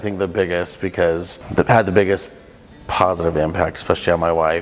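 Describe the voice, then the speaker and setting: With an American accent, a man with a very deep, low voice talks fairly quickly in fairly even intonation. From Southern California. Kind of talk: interview answer. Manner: casual, hesitant with fillers.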